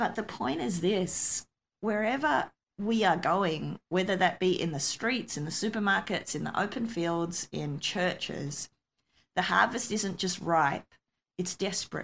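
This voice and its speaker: Fairly slow, lively speech from a woman with an Australian accent. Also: medium pitch for a woman. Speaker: missionary pastor. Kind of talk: interview testimony.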